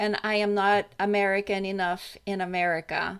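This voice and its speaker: On a very clean recording with a silent background, a woman speaks with a Brazilian Portuguese accent. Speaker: radio host. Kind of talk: radio interview.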